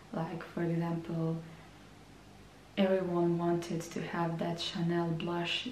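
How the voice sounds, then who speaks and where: A woman with a fairly low pitch speaks at a very slow pace. Room echo is audible. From Croatia. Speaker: beauty vlogger. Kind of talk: vlog monologue. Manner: hesitant, repeats words.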